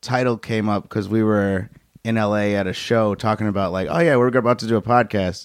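On a very clean recording with a silent background, a man with an American accent and a normal speaking voice talks at a moderate pace, with a medium pitch and fairly even intonation. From Chicago. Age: 30s. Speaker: stand-up comedian. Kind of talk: casual chat.

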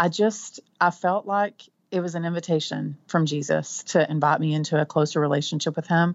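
A woman with a Texan accent speaks at a moderate pace. Her pitch is very deep and low, with fairly even intonation. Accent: Texan, twangy. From Texas Panhandle. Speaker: author and blogger. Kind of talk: casual interview chat.

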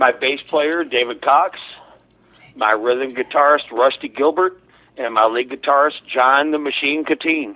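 A plain, everyday voice from a man with an American accent, fairly high-pitched, with ordinary pitch variation and a fairly slow pace. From Missouri, US. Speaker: musician. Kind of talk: casual chat.

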